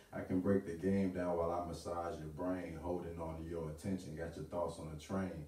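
With music in the background and audible room echo, a man with a very deep, low pitch speaks in a confident tone at a fairly quick pace, his intonation fairly even. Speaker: spoken word artist. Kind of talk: spoken word poetry performance at open mic. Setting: live open mic venue. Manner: rhythmic, confident delivery. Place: home room. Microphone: camera far.

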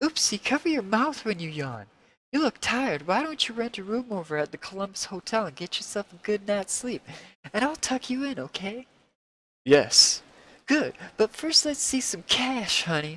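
A man speaks at a moderate pace with very wide pitch swings. The sound is dry, with no echo. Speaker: live stream host. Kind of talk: dramatic reading of comic dialogue with voices. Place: home room. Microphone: headset.

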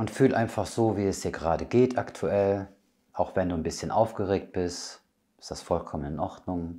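This voice has a calm, soothing tone that is dark and mellow, with ordinary pitch variation. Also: man, very deep, low pitch for a man. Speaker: medium and spiritual healer. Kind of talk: guided meditation. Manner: calm, slow, soothing; gentle, intimate, addressing listener as du. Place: home room.

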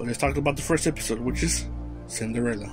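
Music plays behind a man who talks at a very fast pace with ordinary pitch variation. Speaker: anime channel host. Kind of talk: casual vlog commentary.

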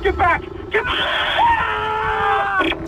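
A man shouts in a put-on character voice. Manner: screaming in panic.

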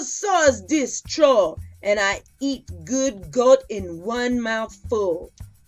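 A female-sounding voice puts on a growling character voice with a fairly high pitch. She talks at a very slow pace over faint music in the background. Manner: mean, growling.

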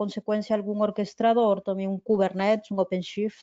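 A woman speaks at a moderate pace. She has an unremarkable speaking voice. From Peru. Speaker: technical presales architect. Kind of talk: technical Q&A. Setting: webinar video call.

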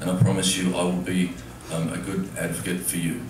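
A man with a very deep, low pitch talks at a fairly quick pace with fairly even intonation, with audible room echo and noticeable background noise. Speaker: candidate. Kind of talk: debate opening statement. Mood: nervous, earnest. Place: stage. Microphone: camera far.

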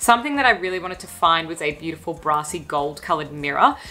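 At a very fast pace, a woman with a fairly low pitch talks with lively intonation. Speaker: lifestyle vlogger. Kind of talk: casual vlog chat. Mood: warm, upbeat. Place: home room.

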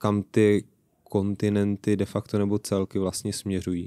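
Against a quiet background, a man speaks at a fairly low pitch in a monotone, flat intonation. His pace is fairly slow and the sound is dry with no echo. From Czech Republic. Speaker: podcast host. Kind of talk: interview. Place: studio. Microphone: studio mic.

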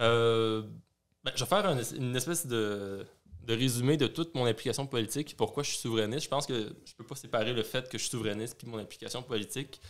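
A man's very fast speech against a quiet background. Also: medium pitch for a man, ordinary pitch variation. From Quebec. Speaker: youth party secretary, student; podcast guest. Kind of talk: interview. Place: home room. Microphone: studio mic.

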